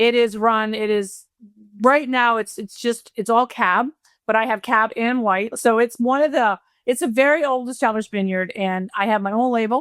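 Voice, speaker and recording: In an East Coast accent, a woman with a fairly high voice talks at a moderate pace with ordinary pitch variation, captured in a very clean, dry, close recording with no echo and a silent background. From Rhode Island, New England. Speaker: wealth manager and vineyard owner, reality show contestant. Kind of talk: casual chat. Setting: podcast.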